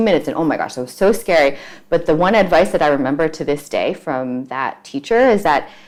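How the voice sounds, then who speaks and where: Her pace very fast, a woman with an American accent speaks at a fairly low pitch with lively intonation. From US, Queens, New York City. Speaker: startup founder, city official. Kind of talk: interview. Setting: video call.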